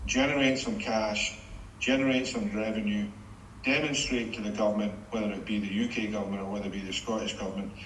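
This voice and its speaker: A man speaks at a very fast pace, fairly low in pitch with fairly even intonation. There is audible room echo and noticeable background noise. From Scotland, Greenock. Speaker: former shipbuilding executive. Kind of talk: interview. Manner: hesitant, repeats words.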